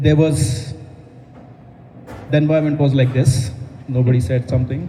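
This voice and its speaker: At a moderate pace, a man speaks with fairly even intonation amid audible room echo. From India. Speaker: stand-up comedian. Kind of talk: stand-up. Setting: stage with audience in a coffee house.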